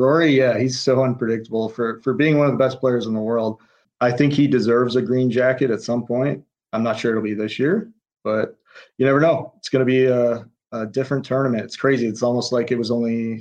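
With an ordinary speaking voice at medium pitch, a man talks at a fairly quick pace with fairly even intonation. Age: 30s. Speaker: pro golfer. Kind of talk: casual interview.

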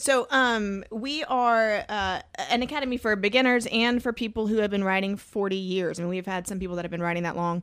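A woman at medium pitch talks in a Southern US accent at a fairly quick pace with hardly any pauses. Her pitch variation is ordinary, and the recording is very clean with a silent background. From Georgia, US South. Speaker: mountain bike instructor. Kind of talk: casual chat.

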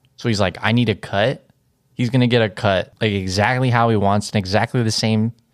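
A man talks in an ordinary speaking voice at a fairly low pitch, with a moderate pace and fairly even intonation. The recording is very clean, with a silent background. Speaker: podcast co-host. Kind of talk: casual chat.

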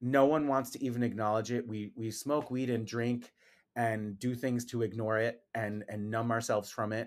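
This man has an unremarkable speaking voice at a medium pitch, with fairly even intonation and a moderate pace. The recording is very clean, its background silent. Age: 40s. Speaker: esthetician and skincare brand founder. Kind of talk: casual interview.

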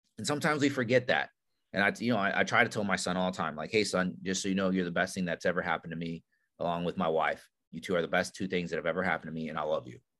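A man with a very deep, low voice and a bright, sharp tone talks at a very fast pace. His intonation is lively, and the background is quiet. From immigrant, grew up in US from childhood. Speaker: former Navy SEAL, leadership instructor. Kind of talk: casual interview.

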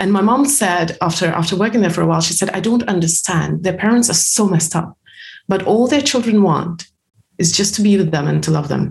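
At a fairly quick pace, a woman speaks at medium pitch with vocal fry, very even loudness and ordinary pitch variation. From former Soviet Union. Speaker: personal development author and coach. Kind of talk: podcast interview. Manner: halting, many fillers.

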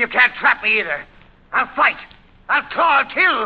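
A man performs a put-on character voice at an extremely high pitch, with big pitch swings and a slightly husky edge. His pace is moderate.

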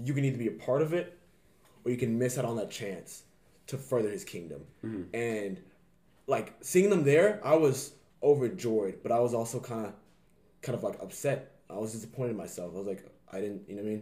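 With an American accent, a man speaks at a fairly quick pace and medium pitch, his dark, mellow tone somewhat breathy, his intonation lively, his loudness swinging widely, and his speech broken by long, frequent pauses. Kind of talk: casual chat.

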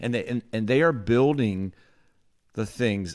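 Here a man talks with an American accent and ordinary pitch variation. The recording is very clean, with a silent background. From North Carolina. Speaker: podcast co-host. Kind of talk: casual chat.

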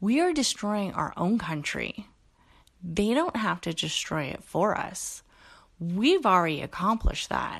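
Against a quiet background, a woman with an American accent talks at a fairly slow pace, her medium pitch moving in very wide swings. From California, Bay Area. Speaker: podcast host. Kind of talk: casual solo monologue. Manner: casual, frequent fillers.

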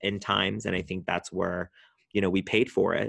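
An ordinary speaking voice, a man with an American accent and fairly low pitch, dry and close with no echo, against a quiet background. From Southern California (Orange County). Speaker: event producer and entrepreneur. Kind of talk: casual interview conversation.

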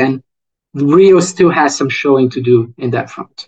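A man talks at a moderate pace, the sound dry and close with no echo. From Brazil, Rio de Janeiro. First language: Portuguese. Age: 30s. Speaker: economist. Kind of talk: interview.

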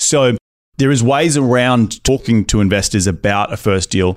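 With lively intonation, a man speaks in an Australian accent. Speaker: real estate investor. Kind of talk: interview conversation. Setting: small studio at live conference.

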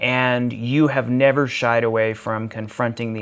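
A man speaks in an ordinary speaking voice at medium pitch, with fairly even intonation. The recording is very clean, the background silent. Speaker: podcast host. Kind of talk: casual conversation.

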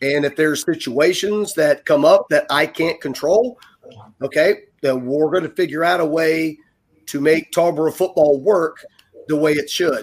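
Speaking in a normal speaking voice with an American accent, a man keeps a moderate pace at a fairly high pitch. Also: fairly even intonation. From Ohio, US Midwest. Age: 50s. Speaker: high school football coach. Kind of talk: interview.

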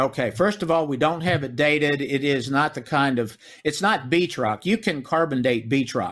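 An unremarkable speaking voice belongs to a man with an American accent who talks at a moderate pace with lively intonation. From US South, Memphis, Tennessee. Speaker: author and researcher. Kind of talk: interview. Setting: remote call.

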